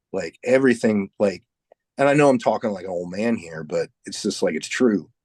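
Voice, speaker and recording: Here is a man with a plain, everyday voice, fairly low in pitch, talking at a moderate pace with lively intonation and big swings in loudness. The sound is dry and close, with no echo. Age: 40s. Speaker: heavy metal musician. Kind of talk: casual chat.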